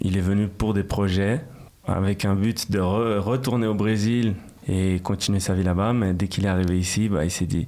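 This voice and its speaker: A man's fairly low voice carries fairly even intonation at a moderate pace. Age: 20s. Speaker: rapper. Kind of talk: interview. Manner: casual, hesitant with repetitions.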